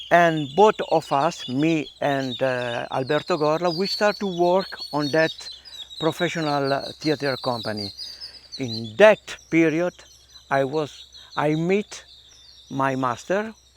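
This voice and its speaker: Amid noticeable background noise, a man with fairly high pitch and ordinary pitch variation speaks at a very slow pace with long, frequent pauses. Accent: Italian. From northern Italy, Milan. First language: Italian. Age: 70s. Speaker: theater artist, Kathakali performer. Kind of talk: interview, personal life story. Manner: halting, many fillers.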